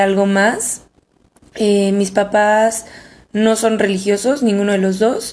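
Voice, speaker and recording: A woman's medium-pitched voice stays monotone and flat as she talks very slowly. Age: 20s. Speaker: podcast co-host. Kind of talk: casual chat.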